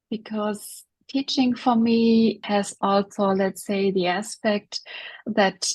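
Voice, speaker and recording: Against a quiet background, a woman talks at a very slow pace with a medium pitch, a somewhat breathy quality and fairly even intonation. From Germany. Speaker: coach and speaker. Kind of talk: interview. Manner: halting.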